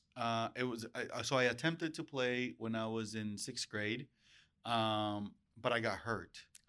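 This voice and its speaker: In a very clean recording with a silent background, a man with a Spanish accent and a bright, sharp tone speaks fairly slowly with ordinary pitch variation. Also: medium pitch for a man. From Mexico, Acapulco area, moved to US as child. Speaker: real estate branch manager. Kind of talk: casual interview. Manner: energetic.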